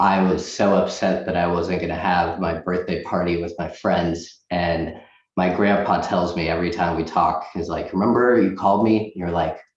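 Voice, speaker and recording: Amid audible room echo, a man with a very deep, low pitch speaks at a moderate pace in a monotone, flat intonation with hardly any pauses. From Boston area, US (born in Russia, moved age 6). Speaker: loan officer. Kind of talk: interview.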